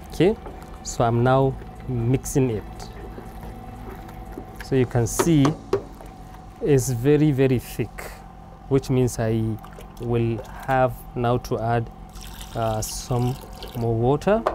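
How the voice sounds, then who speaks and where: Over noticeable background noise, a man speaks at a very slow pace with long, frequent pauses and fairly even intonation, in a dry sound with no echo. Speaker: cooking show host. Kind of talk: tutorial. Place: garden.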